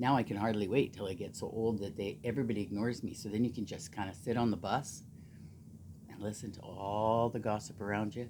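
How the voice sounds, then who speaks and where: A woman with a Canadian Prairies accent, a very deep, low pitch and a dark, mellow tone, at a fairly quick pace with long, frequent pauses. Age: 60s. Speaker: knitting vlogger. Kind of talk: casual chat. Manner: animated.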